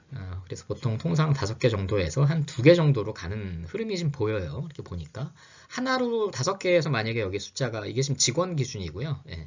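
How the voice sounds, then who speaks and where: At a fairly quick pace, a man with a medium pitch and a somewhat breathy sound makes very wide pitch swings and big swings in loudness. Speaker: lecturer on HR and labor. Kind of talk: lecture. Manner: fast; hesitant, many fillers.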